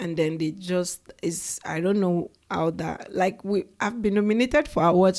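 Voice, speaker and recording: A woman with a Nigerian accent, medium pitch and a moderate pace. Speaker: education startup founder. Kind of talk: interview. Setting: in the Bay Area.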